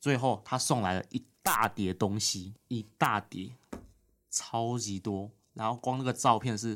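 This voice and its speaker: An ordinary speaking voice. It moves at a fairly slow pace with fairly even intonation. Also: man, medium pitch for a man. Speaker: legislator's aide. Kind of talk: casual interview.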